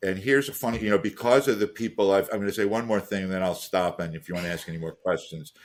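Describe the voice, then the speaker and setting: The speech comes at a very fast pace with hardly any pauses, on a very clean recording with a silent background. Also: man, fairly low pitch for a man, ordinary pitch variation. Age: 60s. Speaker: venture capital investor. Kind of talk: podcast interview. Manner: halting, many repetitions and fillers.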